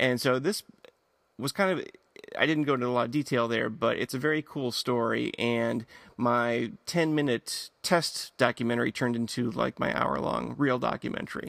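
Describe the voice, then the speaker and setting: Someone with an American accent speaks in a normal speaking voice at a moderate pace with ordinary pitch variation, the sound dry and close with no echo. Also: man, medium pitch for a man. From Michigan, later North Carolina. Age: 40s. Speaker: podcast co-host, documentary filmmaker. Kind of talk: casual chat.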